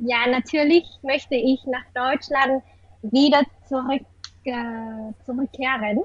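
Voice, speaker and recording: Intonation stays fairly even as the words come at a very slow pace. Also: woman, high pitch for a woman. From Vietnam, Hanoi. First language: Vietnamese (speaking German). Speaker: university student of German. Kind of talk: casual interview; reading aloud. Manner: halting.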